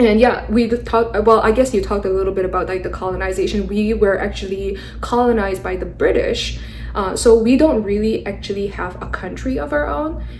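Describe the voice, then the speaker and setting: Audible room echo and noticeable background noise are in the clip. A woman speaks at a fairly quick pace. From Mizoram, northeast India. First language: Mizo. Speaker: podcast host. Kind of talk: casual interview conversation. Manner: hesitant, many fillers.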